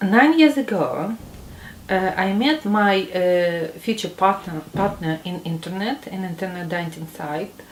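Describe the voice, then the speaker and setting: A woman with a Russian accent speaks at a medium pitch, fairly slowly and with lively intonation. Noticeable background noise runs under her voice. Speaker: migrant interviewee. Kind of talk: interview testimony. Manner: halting, many fillers.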